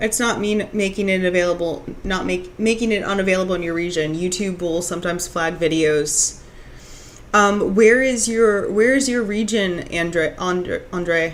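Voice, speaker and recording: Amid noticeable background noise and audible room echo, a woman talks at a moderate pace in a medium pitch with ordinary pitch variation. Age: 30s. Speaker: streamer. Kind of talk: casual chat. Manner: halting.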